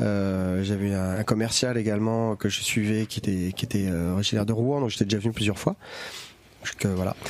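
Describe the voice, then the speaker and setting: With noticeable background noise behind him, a man talks at a moderate pace in a fairly low pitch, his intonation fairly even. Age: 40s. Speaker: comic bookshop owner. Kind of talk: casual chat. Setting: bookshop.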